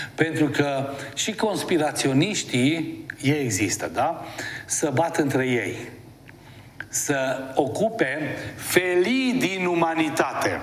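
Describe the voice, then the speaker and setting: A man's fairly high, lively voice at a very slow pace, with audible room echo and noticeable background noise. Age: 60s. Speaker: TV host and therapist. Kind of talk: TV talk monologue. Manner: conversational, animated.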